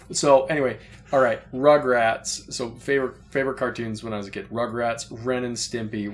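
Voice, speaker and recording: Medium in pitch with ordinary pitch variation, this man has a plain, everyday voice. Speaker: podcast co-host. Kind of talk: casual chat.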